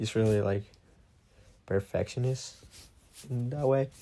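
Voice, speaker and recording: The voice is somewhat breathy, at a moderate pace with ordinary pitch variation. The recording is very clean, with a silent background. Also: man. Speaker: podcast host. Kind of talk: personal monologue podcast. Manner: hesitant, many fillers.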